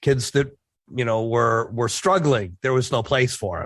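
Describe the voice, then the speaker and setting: A normal speaking voice from a man, medium in pitch and moderate in pace, against a quiet background. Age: 60s. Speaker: author and former skydiver, army veteran. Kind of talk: interview, casual chat. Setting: podcast interview.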